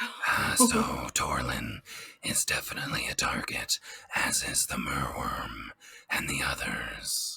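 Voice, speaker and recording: Someone whispers in a put-on character voice. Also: fairly slow pace. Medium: actual play. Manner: formal, earnest.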